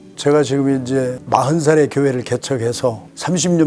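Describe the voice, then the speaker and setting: Music plays in the background. A man at a medium pitch speaks at a moderate pace with ordinary pitch variation. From South Korea, South Chungcheong. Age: 70s. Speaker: retired pastor and missionary. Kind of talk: interview.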